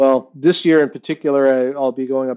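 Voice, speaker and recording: This voice has a dark, mellow tone and an American accent, moving at a fairly quick pace. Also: man. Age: 60s. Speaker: glass artist. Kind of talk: interview. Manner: halting, many fillers.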